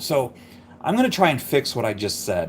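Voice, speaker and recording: A mumbling man at a moderate pace, with vocal fry. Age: 50s. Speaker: car hobby YouTuber editing videos. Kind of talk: casual live-stream editing tutorial. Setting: live stream at home. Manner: casual, self-deprecating chatter.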